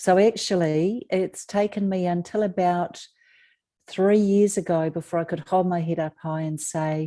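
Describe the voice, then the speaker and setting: A woman with a New Zealand accent talks at a fairly slow pace in a dark, mellow tone. Her pitch is fairly low and her intonation fairly even. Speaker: author, abuse survivor. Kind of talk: interview.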